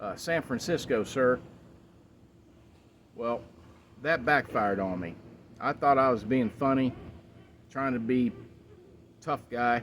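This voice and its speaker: With an American accent, a man at medium pitch speaks at a fairly slow pace with ordinary pitch variation and long, frequent pauses. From Texas. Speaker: Marine Corps veteran. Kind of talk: casual chat.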